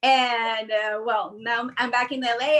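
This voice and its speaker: A woman with a Peruvian accent projects a raised voice with a bright, sharp tone at a fairly slow pace. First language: Spanish. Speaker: actress. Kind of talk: video call reunion. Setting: video call.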